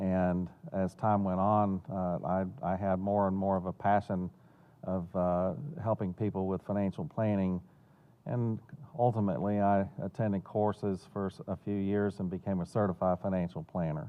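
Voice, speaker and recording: With a Southern US accent, a man speaks at a moderate pace in a fairly low pitch, keeping his intonation fairly even. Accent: Southern US accent (self-noted). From Florida and North Carolina. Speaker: financial planner and benefactor. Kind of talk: interview. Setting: theater. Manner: hesitant, many fillers and repeats.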